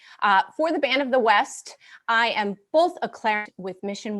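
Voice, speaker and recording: The speaker has an upstate New York accent, and the recording is very clean with a silent background. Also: woman. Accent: upstate New York American. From US Northeast (upstate New York). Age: 40s. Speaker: military band clarinetist. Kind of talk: live stream concert introduction. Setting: at home, dining/living room.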